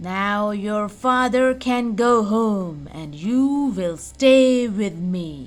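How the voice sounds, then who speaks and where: In a put-on character voice, a woman bellows at a very slow pace with a medium pitch. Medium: read story. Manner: roaring, commanding.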